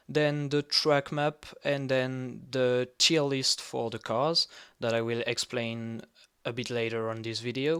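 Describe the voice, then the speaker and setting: With a non-native accent, a man speaks at a very slow pace in a bright, sharp tone with fairly even intonation. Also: very clean recording, silent background. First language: not English. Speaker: sim racing analyst YouTuber. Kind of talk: tutorial-style race preview. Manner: halting with fillers.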